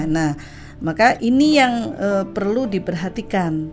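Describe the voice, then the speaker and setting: A woman's voice is accompanied by music in the background. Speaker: Islamic religious counselor and talk show guest. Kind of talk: radio talk show explanation on family problem solving.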